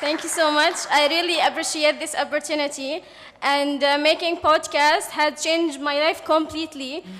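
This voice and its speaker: Noticeable background noise accompanies a woman speaking at a moderate pace with a Yemeni accent. Her high-pitched voice has monotone, flat intonation. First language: Arabic. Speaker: journalist and podcaster. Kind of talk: panel testimony. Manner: halting.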